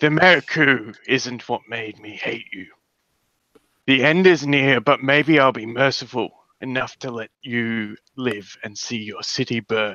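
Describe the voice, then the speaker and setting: In a gruff, put-on character voice, the speaker moves at a moderate pace with big swings in loudness. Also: man, medium pitch for a man. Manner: menacing, threatening.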